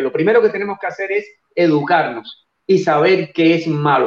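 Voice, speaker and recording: A man's high voice at a fairly slow pace, with ordinary pitch variation. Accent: Cuban. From Cuba. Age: 60s. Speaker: nutrition researcher. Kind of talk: interview on a live show. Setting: live stream.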